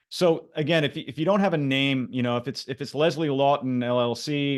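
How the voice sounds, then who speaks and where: A man with an unremarkable speaking voice and a fairly high pitch uses ordinary pitch variation against a quiet background. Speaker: branding coach. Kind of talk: live workshop presentation. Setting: video call.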